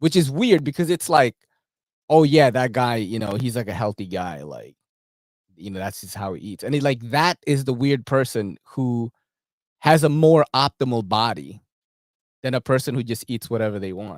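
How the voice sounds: A man speaks at medium pitch and a moderate pace, his intonation lively. The sound is dry and close, with no echo.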